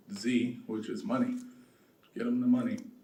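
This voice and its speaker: With an American accent, a man talks at a moderate pace amid audible room echo. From South Los Angeles. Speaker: real estate developer. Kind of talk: conference talk. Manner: soft-spoken.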